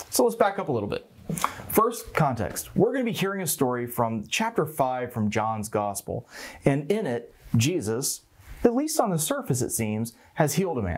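The speaker is a man with a moderate pace. His pitch rises and falls very widely. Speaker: pastor. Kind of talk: sermon. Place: studio. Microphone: lapel.

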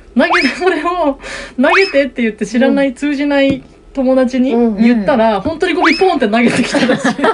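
A woman's high, lively voice at a fairly quick pace, with noticeable background noise. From Miyako, Iwate, Japan. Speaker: singer-songwriter. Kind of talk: casual radio studio chat. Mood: cheerful, amused storytelling. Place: office.

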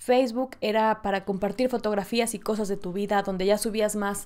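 Against a quiet background, a woman talks at a moderate pace and medium pitch in an animated tone. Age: 20s. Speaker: podcast host. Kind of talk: casual solo monologue. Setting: solo in front of camera and mic. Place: home room.

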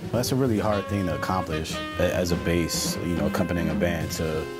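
Loud music plays behind a man who talks at a moderate pace with ordinary pitch variation. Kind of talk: interview answer. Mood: warm, admiring. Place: studio.

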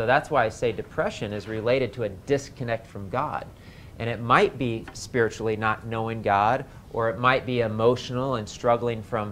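Light background noise accompanies speech at a moderate pace with fairly even intonation. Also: man. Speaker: health class teacher. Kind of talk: lecture. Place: classroom.

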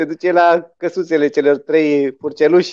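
Speaking at a fairly slow pace, a man uses a high pitch. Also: quiet background. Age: 40s. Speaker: musician. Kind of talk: casual storytelling chat. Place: home room. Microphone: video call.

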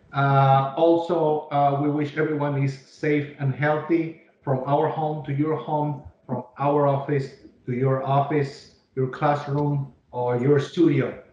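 Speech comes at a fairly slow pace with audible room echo and light background noise. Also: man. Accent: Mexican. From Mexico City. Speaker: webinar host, presenter. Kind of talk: formal business presentation. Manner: speaks slowly, carefully enunciated. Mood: upbeat, welcoming. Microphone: video call.

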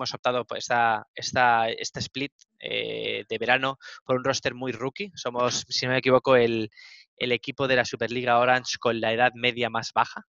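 A man's monotone, flat delivery in a dry sound with no echo. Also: quiet background. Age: 30s. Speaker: esports coach. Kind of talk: interview. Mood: relaxed, content. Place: office. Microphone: headset.

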